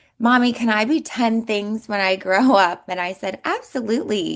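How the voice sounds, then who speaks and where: Here is an unremarkable speaking voice with lively intonation, moving at a moderate pace. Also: woman. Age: 30s. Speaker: entrepreneur and former model. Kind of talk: interview. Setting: radio show.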